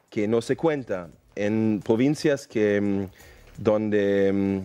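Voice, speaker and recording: The voice has a dark, mellow tone and a German accent. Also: man. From Germany, near Düsseldorf; Germany. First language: German (speaking Spanish). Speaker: mining company executive; interview guest. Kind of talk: interview. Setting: studio. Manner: halting. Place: studio. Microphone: headset.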